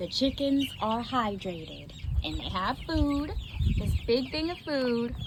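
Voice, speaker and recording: A soft-spoken woman talks at a fairly slow pace. Her intonation is lively. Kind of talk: casual talk to camera, farm update. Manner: soft-spoken, calm.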